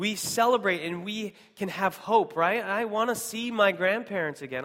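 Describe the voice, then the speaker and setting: Speaking with an American accent, a man uses a high pitch and ordinary pitch variation at a moderate pace. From US Pacific Northwest, Seattle. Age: 30s. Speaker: missionary church planter. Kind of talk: sermon.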